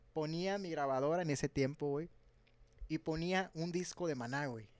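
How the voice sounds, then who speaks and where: A man speaks in a normal speaking voice with a fairly high pitch. His pitch variation is ordinary. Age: 20s. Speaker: drummer in a band. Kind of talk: casual chat.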